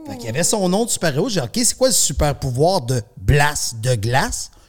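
A voice with very wide pitch swings and a Quebec accent. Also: man. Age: 50s. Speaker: artist manager. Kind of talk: casual chat.

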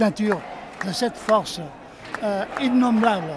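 Crowd noise fills the background as the speech moves at a fairly slow pace. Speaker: Catalan independence supporter. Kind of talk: interview. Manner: halting.

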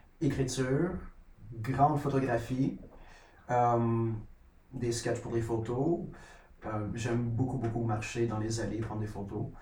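A man's very slow speech, with long, frequent pauses, fairly even intonation and audible room echo. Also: medium pitch for a man. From Quebec, near Sorel. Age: 30s. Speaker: photographer and animal caretaker. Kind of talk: casual chat.

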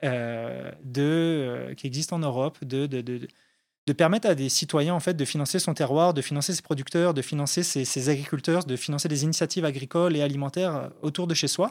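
Speaking fairly quickly in an ordinary speaking voice, a man has a fairly high pitch and ordinary pitch variation. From France, Haute-Savoie (French Alps). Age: 30s. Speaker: entrepreneur, founder of a farm crowdfunding platform. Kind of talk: casual interview. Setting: studio.

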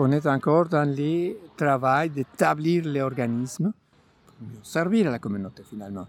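A man with a fairly high pitch speaks in a Mexican accent, using lively intonation and big swings in loudness. Music plays in the background. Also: fairly slow pace. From Mexico. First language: Spanish (speaking French). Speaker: community organization founder. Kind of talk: personal testimony.

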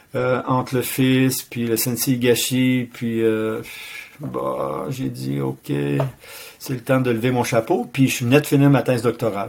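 The pace of this man's speech is very slow, with a medium pitch and fairly even intonation. Noticeable background noise sits behind him. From Quebec City. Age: 60s. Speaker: martial arts master and retired teacher. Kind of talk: interview.

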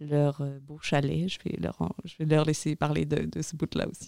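A woman talks at a moderate pace in a very deep, low voice with a dark, mellow tone. The recording is very clean with a silent background and a dry, close sound with no echo. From France. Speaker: regional youth migration agent. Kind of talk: casual interview.

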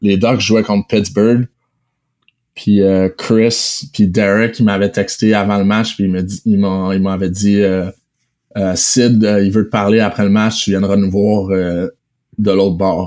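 A man speaks very slowly with long, frequent pauses. His fairly low voice stays monotone and flat. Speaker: professional hockey player. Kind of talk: casual interview. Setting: remote recording.

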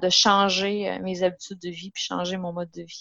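A woman speaks in a monotone, with flat intonation. The sound is dry and close, with no echo. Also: quiet background. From Quebec, Gaspésie (Matapédia Valley). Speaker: nutritionist. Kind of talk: casual interview.

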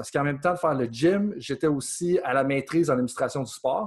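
A man speaks very fast in a fairly high, somewhat breathy voice against a quiet background. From Quebec, Beauce (Saint-Georges). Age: 30s. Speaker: sports coaching researcher and consultant. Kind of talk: interview.

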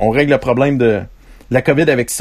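The speaker is a man with a Quebec accent. His voice sits at a medium pitch. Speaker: podcast host. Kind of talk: casual chat. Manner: animated.

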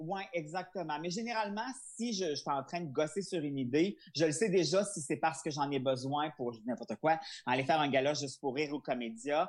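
This man has a plain, everyday voice, fairly high in pitch, with lively intonation. He talks at a fairly quick pace against a quiet background. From Quebec, Charlevoix. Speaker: comedian. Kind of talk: interview.

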